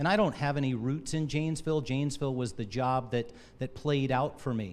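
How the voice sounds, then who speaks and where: With an American accent and an ordinary speaking voice, a man talks at a fairly quick pace in a medium pitch with ordinary pitch variation. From US, Army family moving around. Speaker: city manager candidate, army veteran. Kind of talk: public introductory speech. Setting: public meet and greet with audience.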